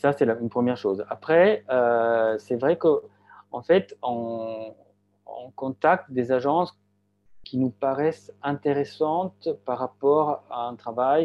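Very slow pace, long, frequent pauses and ordinary pitch variation. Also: man, fairly high pitch for a man. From Switzerland, Graubünden. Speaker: architect and gallery founder. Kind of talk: interview. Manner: halting.

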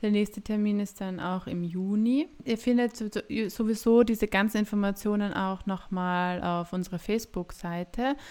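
The recording is very clean, with a silent background. The tone is dark and mellow, and the intonation stays fairly even. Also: woman, medium pitch for a woman, moderate pace. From Austria, Graz (Styria). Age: 30s. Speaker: midwife and podcast co-host. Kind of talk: casual chat.

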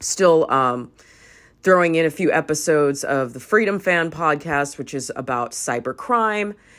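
Her pitch is very deep and low, her tone animated and her intonation lively. The woman speaks at a fairly slow pace in a very clean recording with a silent background. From US West Coast, Los Angeles. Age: 40s. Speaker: podcast host. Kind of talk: casual monologue.

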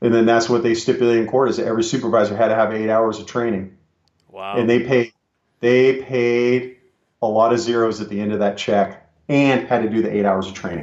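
A man with an American accent, an unremarkable speaking voice, medium pitch and fairly even intonation. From California. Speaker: retired police officer and drug recognition trainer. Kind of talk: interview.

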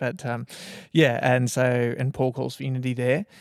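Speaking at a fairly quick pace, a man with an Australian accent uses a medium pitch. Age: 30s. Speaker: church minister. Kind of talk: casual chat.

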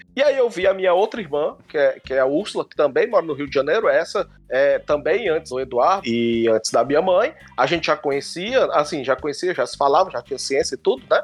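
Hardly pausing, a man talks at a fairly quick pace. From Fortaleza, Ceará, Brazil. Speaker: screenwriter and film critic. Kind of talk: casual storytelling chat.

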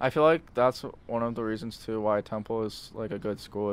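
A man with a fairly low pitch at a moderate pace, a normal speaking voice. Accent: American. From Lancaster County, Pennsylvania. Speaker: podcast host. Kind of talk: casual interview.

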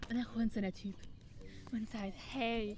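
Dark and mellow in tone, a woman's high-pitched voice shows ordinary pitch variation. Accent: Swiss. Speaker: podcast host. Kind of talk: casual chat. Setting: outdoors.

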